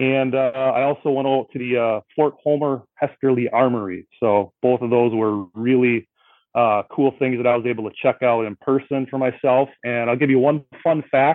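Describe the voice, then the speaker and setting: With an American accent and an ordinary speaking voice, a man talks at a moderate pace and medium pitch with fairly even intonation. He barely pauses at all. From Milwaukee, Wisconsin. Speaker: sports writer, trivia challenger. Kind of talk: casual chat.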